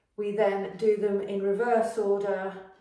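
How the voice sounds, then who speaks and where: Audible room echo surrounds a woman speaking at a fairly slow pace against a quiet background. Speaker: fitness instructor. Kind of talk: workout class intro. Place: gym. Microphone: camera far.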